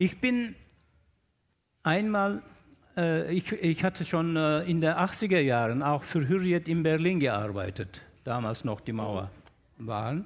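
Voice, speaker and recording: Speaking at a very slow pace with long, frequent pauses, a man with a Turkish accent and a fairly high pitch moves through very wide pitch swings. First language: Turkish (speaking German). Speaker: newspaper journalist and columnist. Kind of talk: panel discussion. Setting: stage with audience in a festival tent.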